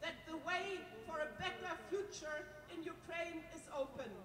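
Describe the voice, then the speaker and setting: A woman with a German accent at an extremely high pitch, very slow pace and fairly even intonation, over noticeable background noise. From Germany. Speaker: politician. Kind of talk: speech. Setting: stage with audience. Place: stage.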